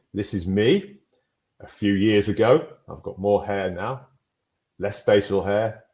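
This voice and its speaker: With a northern English accent, a man talks at a moderate pace and a fairly low pitch. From northern England. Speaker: mental health guidance presenter. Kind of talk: webinar presentation. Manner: clear and concise.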